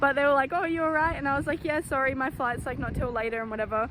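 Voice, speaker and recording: A woman speaks in a high pitch with lively intonation. She has an Australian accent. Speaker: vlogger. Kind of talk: travel vlog. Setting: outdoors. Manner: loud.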